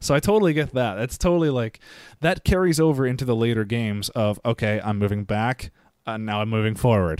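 With an American accent, a man in a normal speaking voice talks at a fairly quick pace and medium pitch with lively intonation, in a very clean recording with a silent background. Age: 30s. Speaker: video game podcast co-host. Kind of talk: casual chat.

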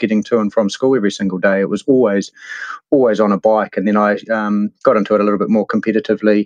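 A man with a New Zealand accent at a very fast pace, fairly low in pitch and monotone, flat in intonation, dry and close with no echo. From New Zealand, Hawke's Bay. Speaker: mountain bike hire and tour operator. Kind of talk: interview. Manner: halting.

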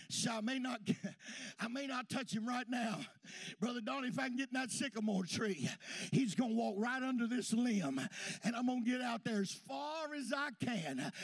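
A man talks loudly with an American accent at an extremely high pitch. His pace is moderate. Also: ordinary pitch variation. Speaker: pastor. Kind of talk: sermon. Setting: church. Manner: folksy, reminiscing storyteller punctuated by hallelujahs; exuberant, loud praise, hollers for Jesus.

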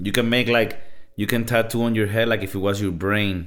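A man with a Spanish accent talks at a moderate pace. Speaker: podcast host. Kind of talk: casual chat. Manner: animated.

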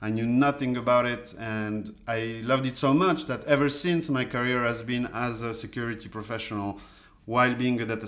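Through audible room echo, a voice in a French accent speaks at a moderate pace with fairly even intonation. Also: man. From France. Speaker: data scientist. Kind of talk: interview.

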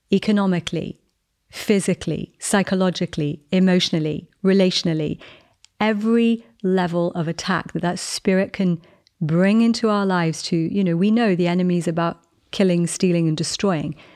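Over a quiet background, a woman speaks at a medium pitch and a moderate pace with fairly even intonation. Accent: English. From England. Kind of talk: devotional teaching and prayer.

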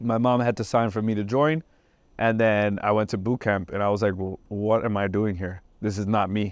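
In an ordinary speaking voice, a man with an American accent talks at a moderate pace and medium pitch with fairly even intonation against a quiet background. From New Jersey, Trenton. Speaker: army veteran and fitness trainer. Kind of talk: interview. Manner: casual, with many fillers.

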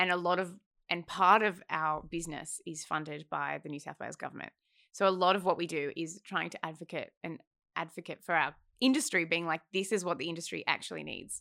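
On a very clean recording with a silent background, a woman with an Australian accent speaks at a fairly quick pace and fairly low pitch, with a bright, sharp tone, ordinary pitch variation and big swings in loudness. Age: 20s. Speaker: film development executive. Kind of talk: casual chat.

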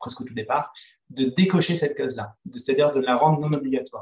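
A man speaks at a medium pitch with a somewhat breathy quality. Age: 40s. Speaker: entrepreneur. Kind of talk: interview. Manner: halting, many hesitations.

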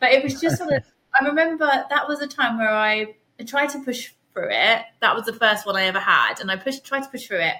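A woman in an East Anglian accent speaks very fast in a raised, projected voice, high-pitched and bright and sharp in tone, with lively intonation. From Suffolk, England. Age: 30s. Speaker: person living with MS. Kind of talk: casual interview. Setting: remote call.

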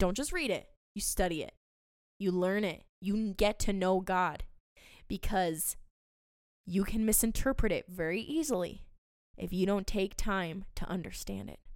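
The voice has an animated tone and ordinary pitch variation, moving at a fairly slow pace with long, frequent pauses on a very clean recording with a silent background. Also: woman, medium pitch for a woman. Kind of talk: faith podcast monologue. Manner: scripted.

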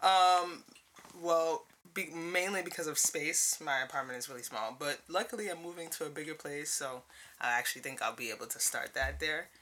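Someone with a Brooklyn accent speaks at a moderate pace over noticeable background noise. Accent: New York (Brooklyn). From US Northeast, Brooklyn, New York. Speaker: podcast guest, artist. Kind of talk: casual chat. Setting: studio.

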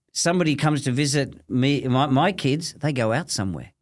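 A man with an Australian accent speaks at a moderate pace in a fairly high pitch for a man, on a very clean recording with a silent background. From Australia, Melbourne (Thomastown). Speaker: businessman. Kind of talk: casual chat.

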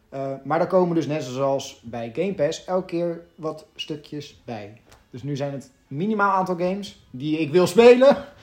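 A man with a fairly high pitch talks fairly slowly, with hardly any pauses. His loudness swings widely over music in the background. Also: lively intonation. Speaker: gaming podcast co-host. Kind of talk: casual chat.

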